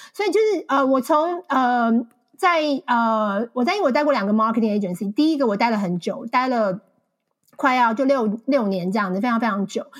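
Lively intonation and a moderate pace from a woman with a high voice. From Taiwan. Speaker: marketing account manager and author. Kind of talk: interview conversation.

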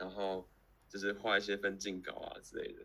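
A bright, sharp tone at a moderate pace. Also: man. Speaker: podcast co-host. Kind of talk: casual chat. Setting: live stream over call.

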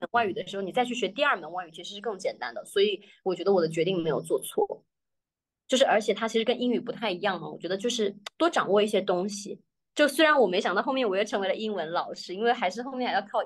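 Talking at a very fast pace, a woman has a medium pitch and lively intonation. Her loudness swings a lot. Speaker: English teacher. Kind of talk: casual interview chat. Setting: video call.

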